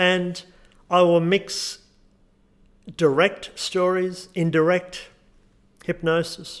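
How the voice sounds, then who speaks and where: A man with an Australian accent speaks at a high pitch in a monotone, flat intonation, very slowly and with long, frequent pauses. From Australia, Newcastle NSW. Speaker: hypnotherapist. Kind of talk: tutorial with guided hypnosis script; guided hypnosis script.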